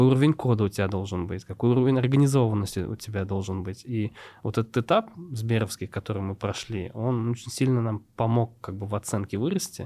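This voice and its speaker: The recording is very clean, with a silent background. A man talks fairly quickly in a dark, mellow tone at medium pitch. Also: ordinary pitch variation. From Tatarstan, Russia (Nurlat district village). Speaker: startup co-founder. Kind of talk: interview conversation.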